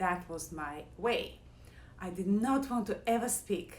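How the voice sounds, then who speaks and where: Lively intonation marks this speaker with a non-native accent, heard with audible room echo. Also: woman. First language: not English. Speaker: yoga and meditation teacher; former pianist. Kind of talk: casual talk to camera, live. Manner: loud.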